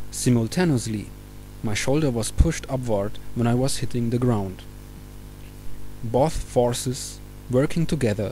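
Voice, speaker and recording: Someone speaks at a moderate pace with a Czech accent. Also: man. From Czech Republic. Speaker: mountain biker. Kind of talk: opinion monologue.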